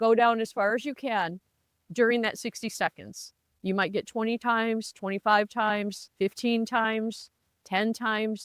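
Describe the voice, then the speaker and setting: In an unremarkable speaking voice, a woman talks at a moderate pace with a fairly high pitch and fairly even intonation, on a very clean recording with a silent background and a dry, close sound with no echo. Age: 60s. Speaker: lifestyle vlogger. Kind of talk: casual advice talk to camera. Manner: conversational.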